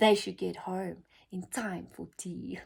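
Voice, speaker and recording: A female-sounding voice performs a put-on character voice. The pace is fairly slow. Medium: read story.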